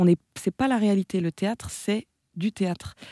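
A woman with a dark, mellow tone and medium pitch talks at a moderate pace with ordinary pitch variation, the sound dry and close with no echo on a very clean recording with a silent background. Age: 20s. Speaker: theatre director and actress. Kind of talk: radio interview. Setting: radio studio. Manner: hesitant, many fillers.

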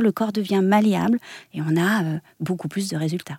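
A woman's medium-pitched voice with a dark, mellow tone and lively intonation, dry and close with no echo, on a very clean recording with a silent background. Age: 40s. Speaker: body method teacher and former dance teacher. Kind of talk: radio interview. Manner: halting.

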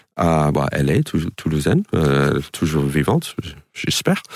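Noticeable background noise surrounds this recording. A man speaks slowly-ish, at a fairly slow pace, in a very deep, low pitch. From New York suburbs, US. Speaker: stand-up comedian. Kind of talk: radio interview. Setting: radio studio. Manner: hesitant, filler-heavy.

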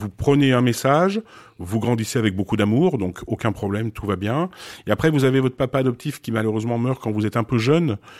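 A man at a medium pitch and a fairly quick pace, with ordinary pitch variation. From Switzerland, then France from age 8-9. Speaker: photographer. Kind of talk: interview. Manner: hesitant with fillers.

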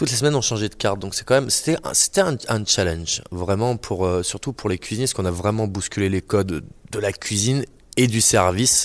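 Ordinary pitch variation at a fairly quick pace. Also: man, fairly low pitch for a man, very clean recording, silent background. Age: 30s. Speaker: chef. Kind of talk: interview. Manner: halting.

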